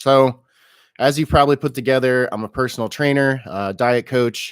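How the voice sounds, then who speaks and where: A man at a medium pitch and a fairly slow pace. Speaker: personal trainer and diet coach. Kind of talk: live stream Q&A. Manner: hesitant, many filler words.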